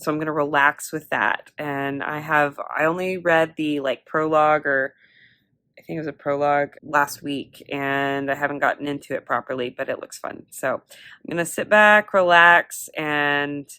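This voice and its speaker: A woman with a very deep, low pitch and a bright, sharp tone speaks at a moderate pace with fairly even intonation on a very clean recording with a silent background. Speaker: vlogger and college student. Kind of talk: casual vlog chat. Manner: rambling, many fillers.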